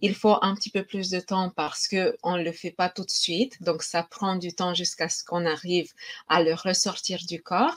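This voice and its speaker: The sound is dry and close with no echo as a woman of medium pitch speaks. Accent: slight Romanian. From Romania. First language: Romanian (speaking French). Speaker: energy healing practitioner. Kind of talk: online conference talk. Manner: hesitant, many fillers.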